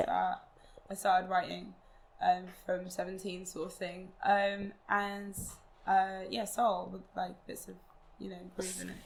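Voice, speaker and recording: A woman with an English accent speaks fairly slowly, with long, frequent pauses. Her intonation is monotone and flat, while her loudness swings widely. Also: medium pitch for a woman. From London, England. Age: young. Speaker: singer-songwriter. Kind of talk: interview answer.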